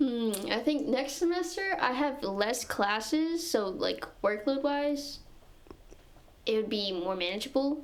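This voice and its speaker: A woman speaks at a fairly slow pace and high pitch with lively intonation, amid noticeable background noise and audible room echo. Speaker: physics student and society officer. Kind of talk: casual chat. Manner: soft-spoken.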